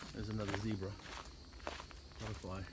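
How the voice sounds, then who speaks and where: There is a man talking. Background noise is clearly noticeable. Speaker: hiking vlogger. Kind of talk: casual vlog narration while hiking. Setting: outdoors on nature trail. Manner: conversational, many fillers.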